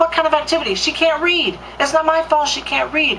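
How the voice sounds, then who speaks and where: A woman's squeaky, put-on character voice at extremely high pitch and a fairly quick pace, with clear background noise. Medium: solo performance. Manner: defensive, curt.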